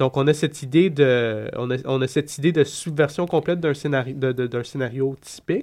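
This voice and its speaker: The voice moves at a moderate pace with fairly even intonation and hardly any pauses. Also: man, fairly high pitch for a man. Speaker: comics commentator. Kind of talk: casual chat. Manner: halting.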